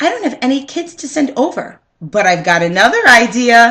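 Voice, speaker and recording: A woman uses a raised, projected put-on character voice pitched high. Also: moderate pace. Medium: read story. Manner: confident, reassuring.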